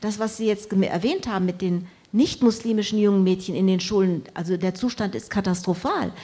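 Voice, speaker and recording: A somewhat breathy woman's voice, dark and mellow in tone, at medium pitch with ordinary pitch variation and a moderate pace. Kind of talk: panel debate. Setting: stage with audience.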